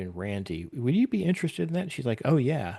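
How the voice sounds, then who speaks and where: A man's lively intonation over a quiet background. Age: 60s. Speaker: podcast creator and game master. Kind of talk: casual chat. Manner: halting.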